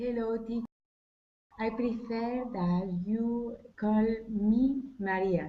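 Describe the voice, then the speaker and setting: Pausing long and often, a woman with a fairly high pitch speaks at a very slow pace with fairly even intonation, and the room echoes audibly. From Andalusia, Spain. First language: Spanish. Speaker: language student. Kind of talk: online language class. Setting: video call.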